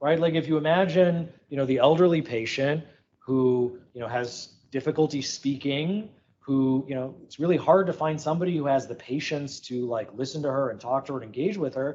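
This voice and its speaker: At a moderate pace, a man speaks in a fairly high voice with ordinary pitch variation. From Chicago. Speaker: startup founder, former video game developer. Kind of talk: conference talk. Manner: loud; animated.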